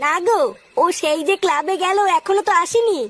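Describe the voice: An extremely high-pitched, female-sounding cartoonish character voice at a moderate pace.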